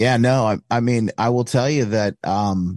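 With an American accent, the speaker shows ordinary pitch variation in a dry, close sound with no echo and a quiet background. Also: man. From US Midwest, Michigan. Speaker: author and radio host. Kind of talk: casual chat. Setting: video call.

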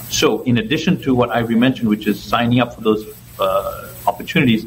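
The man speaks at medium pitch and a moderate pace. Noticeable background noise is present. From Ethiopia and Zambia. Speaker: election volunteer trainer. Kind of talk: interview.

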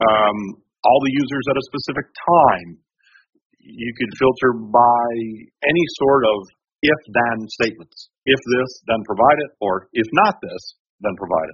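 A man's voice at medium pitch with ordinary pitch variation. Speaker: trial witness testifying on data analysis. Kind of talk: technical, explanatory. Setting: courtroom. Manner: fast talker.

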